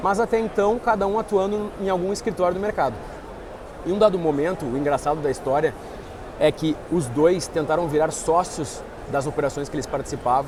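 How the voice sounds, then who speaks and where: A man with a southern Brazilian accent talks at a fairly quick pace and a high pitch, with ordinary pitch variation, over noticeable background noise. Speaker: investment firm partner. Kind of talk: interview. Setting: trade fair stand.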